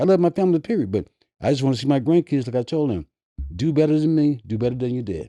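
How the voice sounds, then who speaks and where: A man talks very fast with lively intonation, his fairly high voice carrying a dark, mellow tone. The sound is dry and close with no echo, over a quiet background. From US South, Mississippi. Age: 70s. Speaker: rapper's father. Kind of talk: casual chat. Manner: halting, repeats words.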